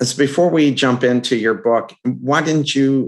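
A man's a normal speaking voice, fairly slow in pace, with ordinary pitch variation. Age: 60s. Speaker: podcast host. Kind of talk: interview.

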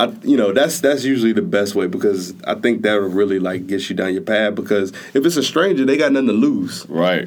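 A plain, everyday voice from a man, fairly low in pitch, with ordinary pitch variation at a fairly quick pace. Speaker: entrepreneur, podcast creator. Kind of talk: casual chat.

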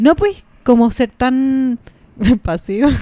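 The voice has a dark, mellow tone and a Chilean accent. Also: woman. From Chile, Puente Alto (Santiago). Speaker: podcast co-host. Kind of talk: casual chat.

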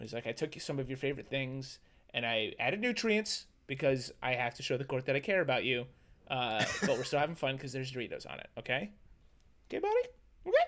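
Man at a very fast pace, medium pitch, ordinary pitch variation. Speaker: podcast guest. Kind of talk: casual banter.

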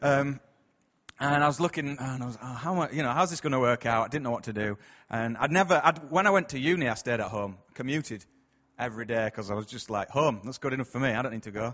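Pitch variation stays ordinary. A man delivers his words very fast. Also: medium pitch for a man. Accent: Yorkshire. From Bradford, northern England. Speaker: church speaker. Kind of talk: sermon. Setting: church. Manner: hesitant, conversational.

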